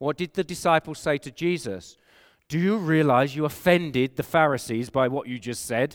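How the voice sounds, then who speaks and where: Recorded very cleanly with a silent background and a dry, close sound with no echo, a man with an English accent speaks at a moderate pace, fairly high in pitch and with ordinary pitch variation. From England. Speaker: pastor. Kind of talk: sermon. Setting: conference hall with audience.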